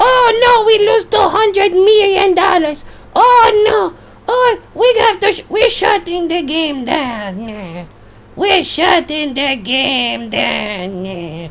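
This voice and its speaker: A put-on character voice pitched extremely high. The delivery is very slow. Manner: silly.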